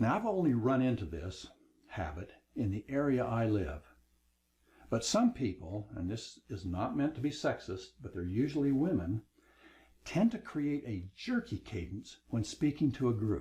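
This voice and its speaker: The voice is somewhat breathy with a dark, mellow tone and very wide pitch swings. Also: man, medium pitch for a man. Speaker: online course instructor. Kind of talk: lecture. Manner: slows down for emphasis.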